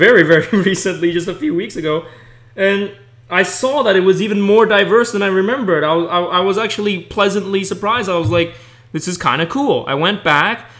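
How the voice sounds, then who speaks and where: Fairly quick delivery from a man, his voice high in pitch, with ordinary pitch variation. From Hong Kong. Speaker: podcast host. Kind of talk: casual chat.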